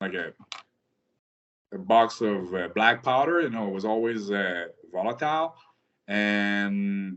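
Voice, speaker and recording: With a French-Canadian accent, a man speaks at a fairly slow pace in a fairly low pitch with ordinary pitch variation. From rural Quebec, Canada. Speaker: military veteran. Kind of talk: interview. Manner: hesitant, many fillers.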